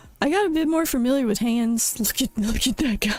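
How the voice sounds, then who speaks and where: A woman speaks at a fairly quick pace. Faint music plays in the background, and the sound is dry with no echo. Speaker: streamer. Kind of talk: casual chat. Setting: live stream. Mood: self-critical, amused. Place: home room. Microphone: studio mic.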